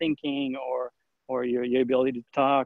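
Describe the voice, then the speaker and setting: A man's medium-pitched voice with a French accent. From France. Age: 30s. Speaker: journalist. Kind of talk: podcast interview. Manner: halting, many fillers.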